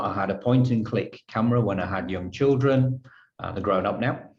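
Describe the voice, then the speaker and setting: A man with a Yorkshire accent, moderate pace and ordinary pitch variation. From northern England, Halifax, Yorkshire. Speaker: photographer. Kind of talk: interview.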